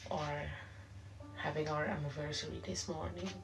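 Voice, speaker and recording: A woman speaks at a medium speed, her voice carrying audible room echo amid noticeable background noise. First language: Papiamento. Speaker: online prayer leader. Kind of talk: livestream prayer and exhortation. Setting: live stream. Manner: simple, careful English.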